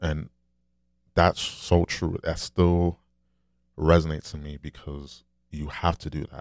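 A soft-spoken man at an extremely low pitch, slow pace, with a slightly mellow tone and little pitch movement

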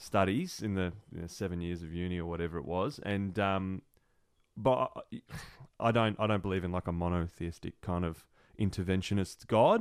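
Very deep and low in pitch, a man speaks with an Australian accent at a moderate pace. The recording is very clean, with a silent background. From Melbourne, Australia. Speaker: entrepreneur, charity founder. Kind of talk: casual interview chat.

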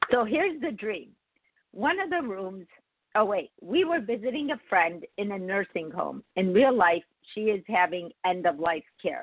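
Her medium-pitched voice has a slightly husky edge as this woman speaks at a fairly slow pace with lively intonation, the sound dry and close with no echo.

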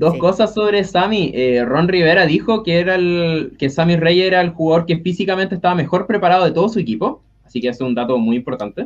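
With a Chilean accent, a man talks very fast in a high pitch and leaves hardly any pauses. His intonation is lively. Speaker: NFL fan panelist. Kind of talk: casual chat.

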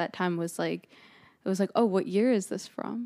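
Talking at a fairly quick pace, a woman with an American accent has a plain, everyday voice at a medium pitch, with ordinary pitch variation on a very clean recording with a silent background. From New Jersey. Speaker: graphic designer and upcycling artist. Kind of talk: interview. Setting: studio.

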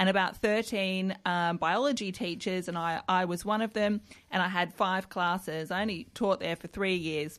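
This speaker has an Australian accent and a moderate pace. The intonation stays fairly even. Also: woman, medium pitch for a woman. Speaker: politician. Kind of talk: interview. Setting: studio.

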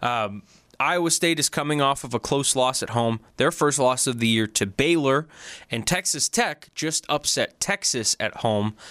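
A man with a plain, everyday voice speaks at a moderate pace and medium pitch with ordinary variation, on a very clean recording with a silent background and a dry, close sound with no echo. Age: 20s. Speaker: sports radio co-host. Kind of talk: casual sports talk.

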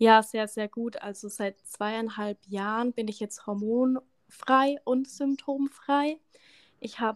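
A woman talks at a very slow pace with fairly high pitch and fairly even intonation. The sound is dry and close, with no echo. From Lower Franconia, Bavaria (near Schweinfurt). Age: 30s. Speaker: energy coach. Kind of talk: podcast interview.

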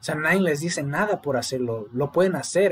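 An unremarkable speaking voice belongs to a man who talks fairly quickly, his pitch varying in an ordinary way. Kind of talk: casual chat.

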